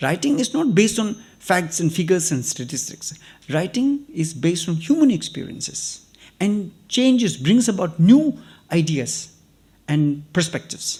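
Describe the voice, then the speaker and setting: A dark, mellow tone with a Tibetan accent and very wide pitch swings. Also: man, high pitch for a man, moderate pace. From Tibetan refugee community in India. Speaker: writer and activist. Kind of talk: invited talk to students.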